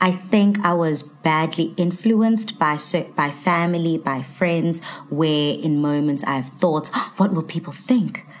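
Noticeable background noise accompanies a woman who speaks at a fairly slow pace, her fairly low pitch carried by lively intonation. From South Africa, Durban. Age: 20s. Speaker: TV presenter. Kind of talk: casual chat.

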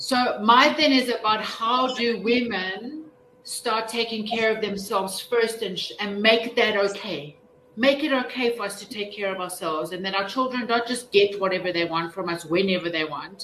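A woman with a fairly high pitch talks at a moderate pace with ordinary pitch variation over noticeable background noise. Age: 40s. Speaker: contributing author. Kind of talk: panel discussion. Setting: video call.

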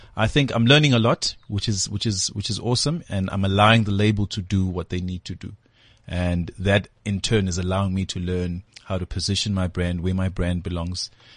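This speaker has a South African accent and a fairly quick pace. The intonation stays fairly even over a quiet background. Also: man, very deep, low pitch for a man. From South Africa, Durban (KwaMashu). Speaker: musician. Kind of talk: casual interview chat. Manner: repeats words often.

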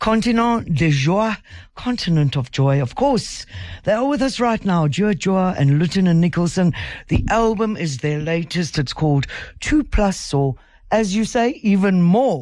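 A woman with a fairly low voice swings her pitch very widely. Her loudness stays very even against a quiet background. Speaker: radio host. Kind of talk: radio interview. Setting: radio studio.

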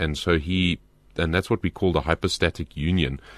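Against a quiet background, a man speaks with vocal fry in a very deep, low pitch, the sound dry and close with no echo. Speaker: pastor. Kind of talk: Bible teaching on radio. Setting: studio.

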